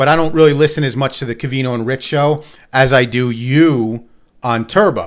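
A man with an American accent and fairly even intonation, in a quiet background. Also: moderate pace. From New Jersey. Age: 40s. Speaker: podcast host. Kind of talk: casual chat. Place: studio. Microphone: studio mic.

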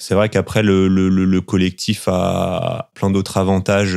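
A man speaks in a very deep, low pitch at a fairly slow pace. The recording is very clean, with a silent background. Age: 30s. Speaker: market gardener. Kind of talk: interview testimony. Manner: hesitant, frequent fillers and repetitions.

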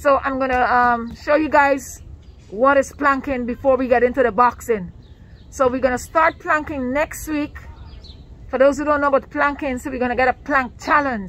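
Fairly even intonation runs through speech at a moderate pace, the sound dry with no echo. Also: woman, high pitch for a woman. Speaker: fitness vlogger. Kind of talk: casual vlog chat. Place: garden. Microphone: phone near.

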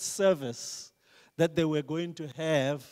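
A man's high-pitched voice against a quiet background. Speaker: preacher. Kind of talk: sermon. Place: church. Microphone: handheld.

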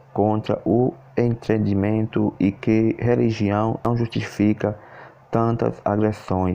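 Very slowly, a man speaks at a fairly low pitch in a monotone, flat intonation. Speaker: YouTube news channel host. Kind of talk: news read-out.

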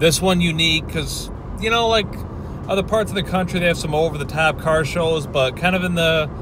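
A man talks at a fairly quick pace in a dry sound with no echo, over noticeable background noise. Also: ordinary pitch variation. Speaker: vlogger driving. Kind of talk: casual vlog chat. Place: car. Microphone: phone near.

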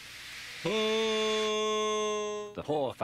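Someone is reading aloud. The delivery is plain.

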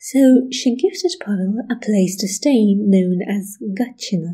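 At a fairly slow pace, a woman speaks with lively intonation in a fairly high, somewhat breathy voice of dark, mellow tone. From Russia. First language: Russian. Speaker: history video creator. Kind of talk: scripted narration.

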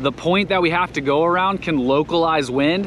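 Fairly quick in pace, a man talks at a fairly high pitch with a fairly bright tone and ordinary pitch variation.

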